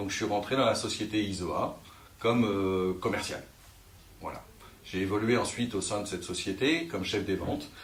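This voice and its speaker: Amid audible room echo, a man with a fairly low, somewhat breathy voice and ordinary pitch variation speaks with long, frequent pauses. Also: moderate pace. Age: 40s. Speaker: sales manager. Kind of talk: career interview. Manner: hesitant, many fillers.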